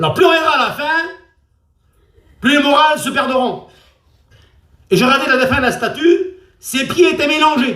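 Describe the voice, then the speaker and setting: In a raised, projected voice with audible room echo, a man speaks at an extremely high pitch with a bright, sharp tone. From France, Traveller (Gitan) community. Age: 60s. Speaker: preacher. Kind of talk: sermon.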